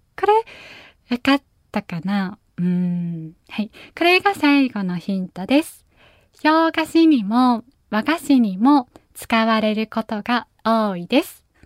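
The speech moves at a very slow pace in a gentle, soothing tone, with very wide pitch swings and big swings in loudness. The recording is very clean and dry, close with no echo and a silent background. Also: woman, fairly high pitch for a woman. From Japan, Nagasaki. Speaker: pianist and podcast host. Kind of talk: casual chat. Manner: frequent laughter.

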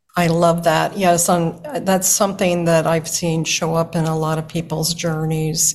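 A woman speaks at a fairly slow pace and fairly low pitch, with hardly any pauses. Her intonation is monotone and flat, with noticeable background noise. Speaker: podcast host. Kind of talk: interview conversation.

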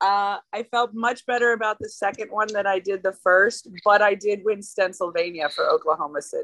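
A woman with an American accent speaks at a moderate pace and medium pitch with ordinary pitch variation and hardly any pauses, in a dry, close sound with no echo. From US South, Georgia. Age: 40s. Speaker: tattoo artist. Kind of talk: casual chat.

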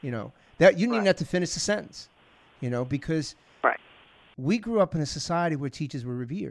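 A man with an American accent and a fairly high pitch talks very fast with lively intonation but takes long, frequent pauses. The recording is very clean, with a silent background. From New York (Long Island, Bronx). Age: 50s. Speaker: security expert and podcast host. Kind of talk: casual interview.

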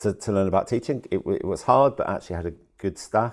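On a very clean recording with a silent background, a man with a fairly low pitch speaks at a very fast pace with ordinary pitch variation. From southern England, Worcester. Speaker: head teacher. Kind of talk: interview conversation. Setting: at an education conference. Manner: halting, with many repetitions and fillers.

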